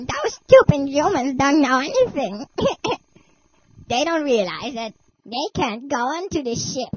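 Pausing long and often, a female-sounding voice speaks at a fairly slow pace in a high-pitched, put-on character voice. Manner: smug, gloating.

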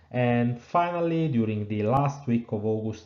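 Ordinary pitch variation from a male speaker, set against a quiet background. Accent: Italian. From southern Italy, Naples. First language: Italian. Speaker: engineering professor. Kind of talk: webinar lecture.

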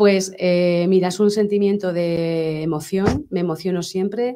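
A woman's fairly low, dark, mellow voice at a fairly slow pace, with fairly even intonation and a quiet background. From Spain, Tomelloso (Castilla-La Mancha); Castilla-La Mancha, Spain. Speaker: sculptor; guest. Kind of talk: interview. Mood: calm, heartfelt. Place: studio. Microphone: studio mic.

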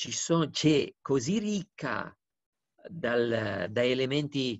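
A man with a Romanian accent talks at a very slow pace, his intonation lively. The sound is dry with no echo, and the background is quiet. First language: Romanian (speaking Italian). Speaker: diplomat; interviewee. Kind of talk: interview; interview answer. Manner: hesitant, with fillers. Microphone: video call.

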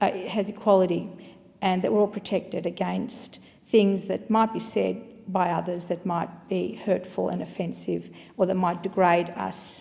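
Speaking at a moderate pace, a woman keeps her intonation fairly even. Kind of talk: parliamentary speech. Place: hall. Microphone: podium.

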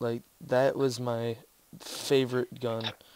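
Very slowly, a man speaks in a monotone with flat intonation. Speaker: gaming video creator. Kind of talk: gameplay commentary, casual chat. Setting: online voice call. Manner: halting.

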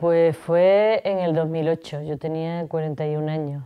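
Against a quiet background, a woman with a very deep, low pitch speaks with fairly even intonation. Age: 50s. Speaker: cancer survivor. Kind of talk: interview testimony. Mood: calm, reflective, serious topic. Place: home room.

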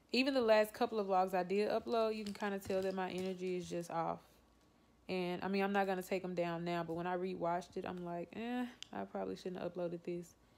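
Very fast speech in a Southern US accent with fairly even intonation. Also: woman. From Louisiana. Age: 20s. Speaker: vlogger. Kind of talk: casual talk to camera. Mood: low, subdued, reflective. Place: home room. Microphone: phone near.

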